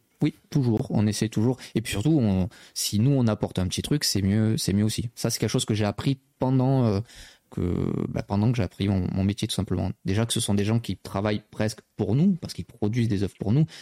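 Recorded very cleanly with a silent background and a dry, close sound with no echo, a man with a dark, mellow tone speaks at a fairly quick pace with a fairly low pitch and ordinary pitch variation. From southern France, Marseille. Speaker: magazine editor-in-chief, anime journalist. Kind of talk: casual chat. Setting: live stream studio.

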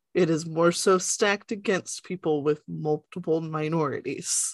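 A woman with an American accent and an ordinary speaking voice talks at a moderate pace and a fairly low pitch with fairly even intonation. The sound is dry and close with no echo, over a quiet background. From US South. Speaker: book club podcast co-host. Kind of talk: casual chat.

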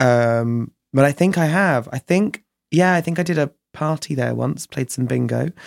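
A fairly high-pitched man with a southern English accent, moderate pace and ordinary pitch variation, in a dry, close sound with no echo. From southern England, Chichester. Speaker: drag performer and DJ. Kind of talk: casual chat.

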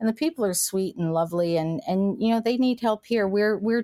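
A woman with an American accent speaks at medium pitch in a dark, mellow tone, with lively intonation and a fairly quick pace. The sound is dry and close, with no echo. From US, West Virginia/Kentucky/Ohio tri-state area. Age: 60s. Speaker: cannabis entrepreneur. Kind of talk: casual interview.

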